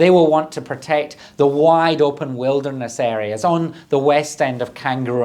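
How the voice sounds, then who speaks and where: A Scottish accent at a fairly slow pace with ordinary pitch variation and audible room echo. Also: man. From southern Scotland. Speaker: government minister. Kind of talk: prepared conference speech. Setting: recorded video address.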